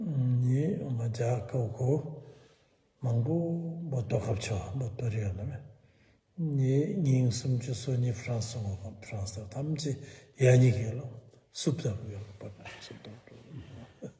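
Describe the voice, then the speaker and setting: A somewhat breathy man of medium pitch with a dark, mellow tone, ordinary pitch variation, a fairly slow pace, long and frequent pauses, and audible room echo. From eastern Bhutan. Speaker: Buddhist teacher. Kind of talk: dharma talk.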